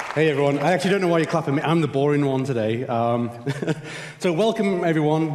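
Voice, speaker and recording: A man talks very fast at a fairly high pitch, with audible room echo and noticeable background noise. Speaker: conference host. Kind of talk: conference announcements. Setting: stage with audience.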